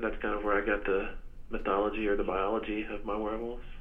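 Flat and monotone, a man with an American accent speaks at a fairly low pitch amid audible room echo. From West Texas. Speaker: novelist and English professor. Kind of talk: interview. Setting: phone call.

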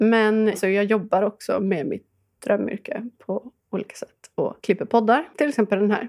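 Heard in a dry, close sound with no echo, a woman with a plain, everyday voice speaks at fairly high pitch, a moderate pace and with ordinary pitch variation. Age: 30s. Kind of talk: casual chat.

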